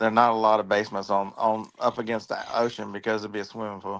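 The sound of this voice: A man talks at a fast pace with a fairly low pitch. His tone is fairly bright, with little pitch movement.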